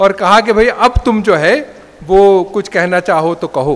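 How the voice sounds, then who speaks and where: The voice belongs to a man. His pitch shows ordinary variation. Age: 80s+. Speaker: professor. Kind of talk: speech at a function. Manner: formal.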